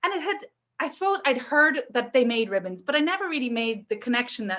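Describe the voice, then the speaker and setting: A woman with a Northern Irish accent speaks at a fairly quick pace in a high pitch. Her tone is bright and sharp, with very wide pitch swings. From Northern Ireland. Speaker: entrepreneur and maker. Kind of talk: casual chat. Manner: animated.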